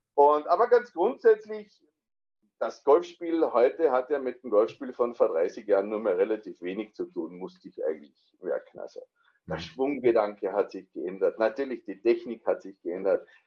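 A man's loudness swings in a big way as he moves along at a moderate pace. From Austria. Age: 40s. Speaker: amateur golfer, coaching client. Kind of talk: interview.

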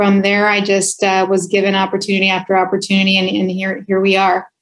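A woman with a Spanish accent at a fairly quick pace. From California, US. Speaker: health plan executive. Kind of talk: interview. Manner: frequent fillers.

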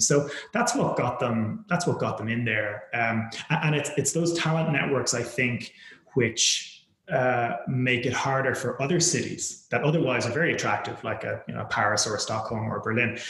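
A man in an Irish accent at a moderate pace, with ordinary pitch variation and audible room echo. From Ireland. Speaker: venture capital investor. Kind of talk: interview. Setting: remote call.

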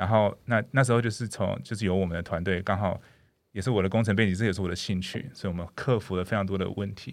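At a very fast pace, a man with a fairly low pitch speaks with ordinary pitch variation in a very clean recording with a silent background. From Canada. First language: English (speaking Chinese). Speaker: dentist. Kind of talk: interview. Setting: studio. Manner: hesitant with frequent fillers.

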